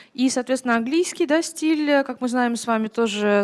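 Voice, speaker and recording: Lively intonation marks a woman speaking at a fairly quick pace in a Russian accent. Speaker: interpreter. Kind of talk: consecutive interpreting. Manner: hesitant, many filler sounds.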